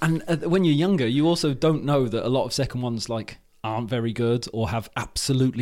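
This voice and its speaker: A man with a British accent talks at a very fast pace. His pitch is medium, with ordinary variation. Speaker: podcaster. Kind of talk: casual chat.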